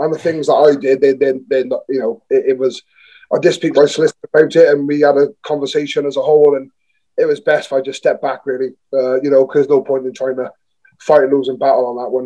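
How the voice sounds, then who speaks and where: In a south Wales accent, a man talks at a very fast pace with a dark, mellow tone, fairly high pitch and fairly even intonation. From Newport, south Wales. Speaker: rugby player. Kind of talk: podcast interview. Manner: halting, many fillers and restarts.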